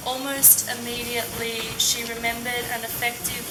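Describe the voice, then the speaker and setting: A woman with a fairly high pitch and an Australian accent, speaking at a fairly slow pace over noticeable background noise. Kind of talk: scripted accent-archive passage reading.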